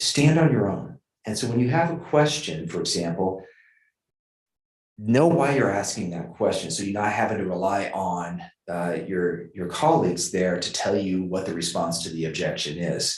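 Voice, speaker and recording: Audible room echo surrounds a man with a very deep, low pitch. His intonation is lively. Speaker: judge. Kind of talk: feedback talk. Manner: fast talker.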